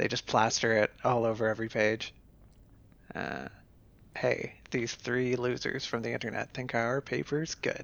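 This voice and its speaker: This is an unremarkable speaking voice from a man. He keeps a moderate pace and fairly even intonation. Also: medium pitch for a man. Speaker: podcast host. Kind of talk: casual chat. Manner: joking, playful.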